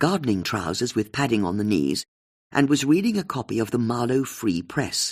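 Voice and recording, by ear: Over quiet surroundings, a natural voice reads aloud.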